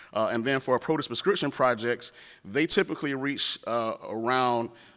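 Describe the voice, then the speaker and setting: A man with an American accent talks at a moderate pace and medium pitch, using ordinary pitch variation and an ordinary speaking voice. The recording is very clean, with a silent background. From rural North Florida. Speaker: government program specialist. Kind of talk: conference panel presentation. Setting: conference room with audience.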